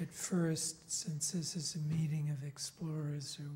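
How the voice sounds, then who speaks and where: A man speaks in a fairly high pitch with a dark, mellow, somewhat breathy tone. His intonation is monotone and flat, and his pace is fairly slow. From England. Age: 60s. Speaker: filmmaker. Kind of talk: conference panel talk.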